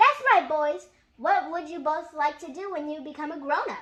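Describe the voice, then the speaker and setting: In a put-on character voice, a woman talks at a moderate pace, squeaky and high-pitched, with big swings in loudness. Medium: read story. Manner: warm, encouraging.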